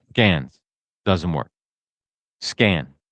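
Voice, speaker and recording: With a New Jersey accent and vocal fry, a man speaks at a fairly slow pace. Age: 60s. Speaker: podcast host. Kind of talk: casual comedic monologue.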